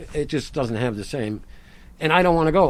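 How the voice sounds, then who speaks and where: A man talks at a very fast pace in an animated tone with lively intonation, recorded very cleanly against a silent background. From Rhode Island. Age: 60s. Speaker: farmer. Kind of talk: casual chat. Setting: outdoors.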